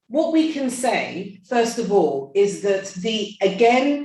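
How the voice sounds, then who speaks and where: A woman with a fairly high pitch and lively intonation speaks at a very slow pace amid audible room echo. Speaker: medical expert. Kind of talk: panel talk. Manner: halting.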